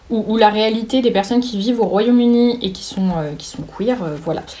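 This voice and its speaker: A woman speaks at a fairly high pitch. Audible room echo and noticeable background noise surround her voice. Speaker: booktuber. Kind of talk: casual book haul talk. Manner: halting, many fillers.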